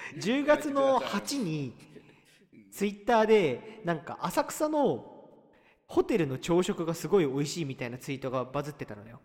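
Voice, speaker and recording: Pitched high, the man talks at a moderate speed while his pitch swings very widely. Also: big swings in loudness. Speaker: podcast co-host. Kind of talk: casual chat. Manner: starts talk with frequent 'anoo' fillers.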